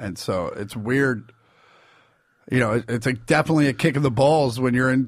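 Very fast male speech in an American accent, on a very clean recording with a silent background. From Kansas City, US Midwest. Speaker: stand-up comedian. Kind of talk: casual interview.

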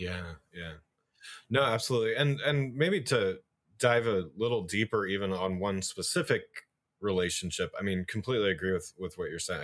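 This man speaks at a fairly quick pace. His pitch moves with ordinary variation. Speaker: podcast host and marketing consultant. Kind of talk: interview podcast.

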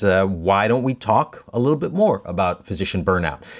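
On a very clean recording with a silent background, a man uses an ordinary speaking voice at a fairly low pitch with lively intonation. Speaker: physician and podcast co-host. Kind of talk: casual conversational podcast chat.

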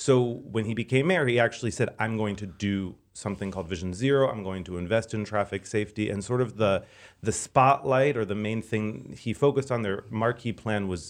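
An ordinary speaking voice, moving at a fairly quick pace with ordinary pitch variation. The background is quiet. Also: man. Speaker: transportation expert. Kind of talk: casual chat.

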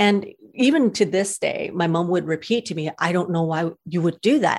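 A woman with a fairly low pitch and ordinary pitch variation uses an ordinary speaking voice. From Canada. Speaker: cat rescuer. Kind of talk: casual interview.

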